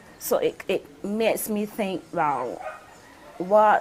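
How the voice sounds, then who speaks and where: A woman speaks with an unremarkable speaking voice at a fairly slow pace. Her intonation is lively. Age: 50s. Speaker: visually impaired interviewee. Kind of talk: personal testimony.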